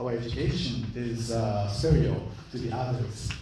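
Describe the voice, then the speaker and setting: A man with a Japanese accent speaks at a moderate pace, with noticeable background noise and audible room echo. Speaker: school chief executive, guest lecturer. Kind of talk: lecture. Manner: halting.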